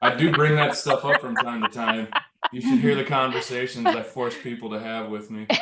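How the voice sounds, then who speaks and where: In a plain, everyday voice, a man speaks at a moderate pace and medium pitch with ordinary pitch variation and big swings in loudness. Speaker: handyman contractor, small business owner. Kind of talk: casual group discussion.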